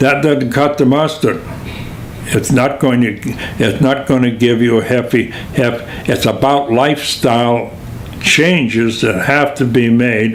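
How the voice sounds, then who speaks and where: With noticeable background noise and audible room echo, a man speaks at medium pitch and a fairly slow pace. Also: fairly even intonation. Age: 80s+. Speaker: retired physical therapist and physical educator. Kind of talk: interview answer. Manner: halting, many fillers.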